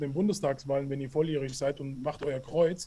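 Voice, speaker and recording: A man speaks at a fairly quick clip with a somewhat breathy voice. His tone is dark and mellow. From Hessen, Hanau. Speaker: anti-racism education activist. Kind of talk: interview. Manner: halting, many fillers.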